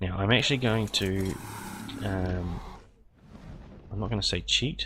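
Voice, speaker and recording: Fairly slow and very deep in pitch, a man speaks with vocal fry and a bright, sharp tone. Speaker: gaming YouTuber. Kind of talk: gameplay commentary. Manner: halting, many fillers.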